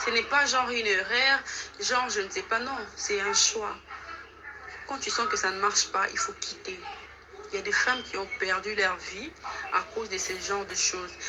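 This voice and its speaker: A woman's fairly high voice with a non-native accent, lively intonation and a moderate pace, broken by long, frequent pauses, with music in the background. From DR Congo, Kinshasa. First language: not French (speaking French). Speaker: caller giving testimony. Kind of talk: testimony.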